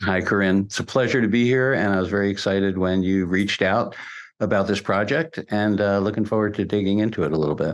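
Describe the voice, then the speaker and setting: In a quiet background, a man with an American accent talks at a very fast pace, his fairly low pitch showing ordinary pitch variation and very even loudness. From New Jersey, US. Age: 70s. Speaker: musician. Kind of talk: interview.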